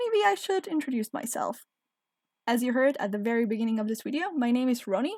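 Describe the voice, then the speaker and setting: In a dry, close sound with no echo, a woman with a non-native accent speaks at a fairly high pitch with lively intonation. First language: not English. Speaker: game video creator. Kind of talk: casual commentary over gameplay. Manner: hesitant, searching for words.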